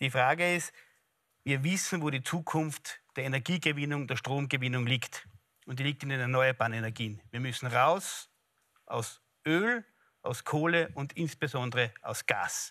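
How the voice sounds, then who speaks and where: A man's bright, sharp voice at a moderate pace, with ordinary pitch variation over a quiet background. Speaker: politician; politician, social affairs spokesman. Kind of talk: heated debate. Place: studio. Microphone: lapel.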